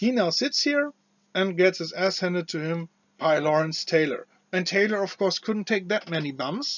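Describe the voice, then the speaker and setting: A man with a non-native accent speaks at a moderate pace in a high voice with lively intonation. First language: not English. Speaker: wrestling commentator / video creator. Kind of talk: casual opinion commentary. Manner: halting, many fillers and restarts.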